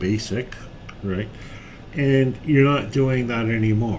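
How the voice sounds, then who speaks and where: A man is talking. Audible room echo and noticeable background noise are present. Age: 60s. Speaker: software developer live-streaming tutorials. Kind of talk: live-stream coding chat. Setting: office, live stream. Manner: halting, many fillers.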